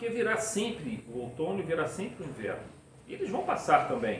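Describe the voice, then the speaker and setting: A man talks at a moderate pace with very wide pitch swings, with audible room echo and noticeable background noise. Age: 60s. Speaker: spiritist lecturer. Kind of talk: lecture.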